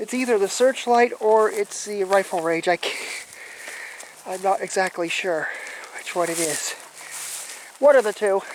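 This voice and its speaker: The speech moves at a fairly slow pace with long, frequent pauses over noticeable background noise. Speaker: YouTube explorer vlogger. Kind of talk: walking vlog narration. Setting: outdoors on an island. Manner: annoyed-sounding.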